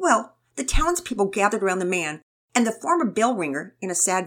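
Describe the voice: Over a quiet background, the speaker does plain reading aloud.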